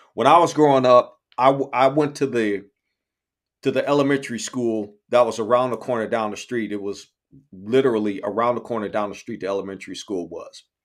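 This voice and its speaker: A man speaks at a fairly quick pace with a medium pitch and ordinary pitch variation. His loudness swings widely. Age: 50s. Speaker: podcast host. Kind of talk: casual chat. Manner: halting, repetitive.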